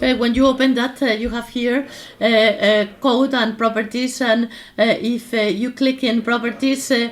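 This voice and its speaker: A high-pitched woman's voice in monotone, flat intonation, over noticeable background noise. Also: moderate pace. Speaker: workshop instructor. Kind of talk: tutorial. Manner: halting, many fillers.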